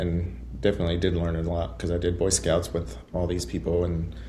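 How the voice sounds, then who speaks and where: A man speaks at a moderate pace in a very deep, low voice with vocal fry and a dark, mellow tone. Room echo is audible. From West Texas (Muleshoe). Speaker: high school band director. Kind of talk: interview podcast.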